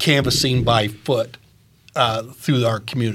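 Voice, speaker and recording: A man speaks at a fairly slow pace in a medium pitch. His voice is somewhat breathy. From Maine. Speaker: retired teacher, guest co-interviewer. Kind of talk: interview.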